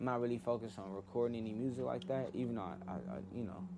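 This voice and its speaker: At a very fast pace, a man speaks with a medium pitch, a dark, mellow tone, vocal fry and ordinary pitch variation. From Inglewood, California. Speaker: music producer and podcast host. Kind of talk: casual storytelling. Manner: casual, slangy with frequent fillers.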